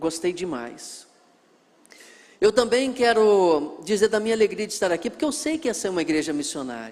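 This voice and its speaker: The speaker goes at a moderate pace with lively intonation. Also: man. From Brazil, northwest Rio de Janeiro state (Miracema). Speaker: missionary pastor, guest preacher. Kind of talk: sermon introduction to a congregation. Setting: church.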